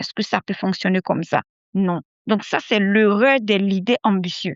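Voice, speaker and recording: The delivery moves at a fairly slow pace, with ordinary pitch variation and big swings in loudness. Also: woman, medium pitch for a woman. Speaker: podcast host and mindset coach. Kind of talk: motivational podcast monologue. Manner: repetitive, emphatic; soft-spoken.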